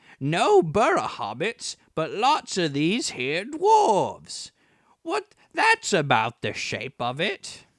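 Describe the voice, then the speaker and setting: A man speaks at a very slow pace. He uses a put-on character voice. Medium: read story.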